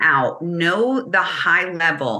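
With a New Jersey accent, a woman talks at a very slow pace, her intonation lively. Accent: New Jersey American. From New Jersey, US. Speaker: business consultant. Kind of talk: casual interview chat.

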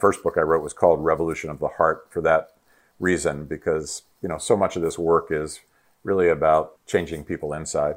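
A man with an American accent at a fairly quick pace, against a quiet background. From US, Pittsburgh, Pennsylvania. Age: 60s. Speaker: nonprofit founder and former political staffer. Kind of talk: interview conversation. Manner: hesitant, many fillers.

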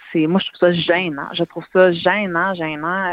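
With a plain, everyday voice, a woman speaks fairly slowly at a fairly low pitch, her intonation fairly even. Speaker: advocacy campaign founder, cancer survivor. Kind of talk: interview.

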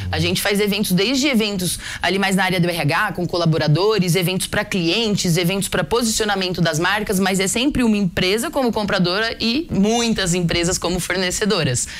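A woman's medium-pitched voice with ordinary pitch variation, a fairly quick pace and hardly any pauses, over noticeable background noise. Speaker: startup founder. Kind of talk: business interview.

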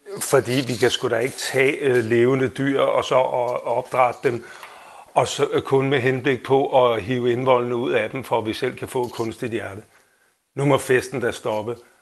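A man at medium pitch talks at a fairly slow pace in a monotone, flat intonation. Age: 50s. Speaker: listener panel member.

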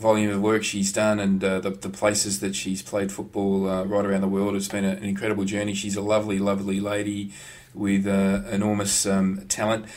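This man speaks in a fairly low pitch with monotone, flat intonation. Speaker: podcast co-host. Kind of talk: casual sports chat.

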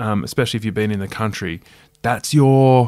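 Ordinary pitch variation in a very clean recording against a silent background. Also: man. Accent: Australian. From Australia, rural New South Wales. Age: 40s. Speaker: broadcaster and author. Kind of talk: casual interview.

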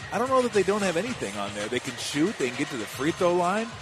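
Relaxed tone from a man at a high pitch with very wide pitch swings, music in the background. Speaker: color commentator, game analyst. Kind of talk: live game analysis, conversational commentary. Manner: relaxed, conversational, matter-of-fact.

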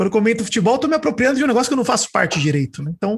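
Pitch swings very widely as a man speaks at a very fast tempo. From interior of São Paulo state, Brazil. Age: 30s. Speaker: podcaster and IT worker, listener. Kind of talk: casual chat.

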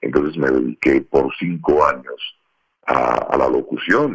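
Recorded close and dry, the man's voice carries no echo at all. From Colombia, Bogotá. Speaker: voice actor. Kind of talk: interview conversation.

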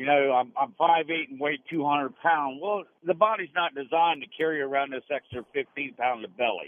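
This man has a normal speaking voice, pitched fairly high, moving at a moderate pace with ordinary pitch variation. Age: 60s. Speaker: radio caller. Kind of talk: call-in question to radio doctors. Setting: phone call.

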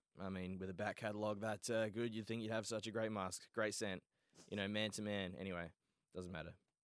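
In an Australian accent, a man races along at a very fast pace with a fairly low pitch and monotone, flat intonation. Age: 20s. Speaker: Twitch streamer and podcast host. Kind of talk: casual chat. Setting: studio. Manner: joking, banter.

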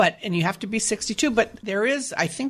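A woman with vocal fry talks at a fairly quick pace against a quiet background. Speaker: reverse mortgage specialist. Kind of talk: explanatory talk on a radio show.

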